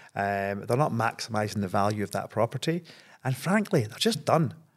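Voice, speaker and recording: A man with a Scottish accent, fairly low in pitch, at a moderate pace with ordinary pitch variation, in a very clean recording with a silent background. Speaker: property investor. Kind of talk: podcast interview. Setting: studio.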